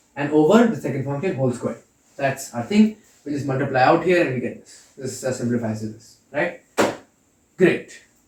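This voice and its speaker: Somewhat breathy delivery with lively intonation and big swings in loudness. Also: man. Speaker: calculus lecturer. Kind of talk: lecture. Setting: lecture hall. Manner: fast.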